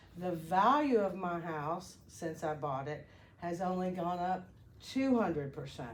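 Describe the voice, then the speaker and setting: Very slow speech from a woman, set in audible room echo. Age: 60s. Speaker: concerned citizen speaking at public comment. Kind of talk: public comment at a county meeting. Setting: public meeting room with audience.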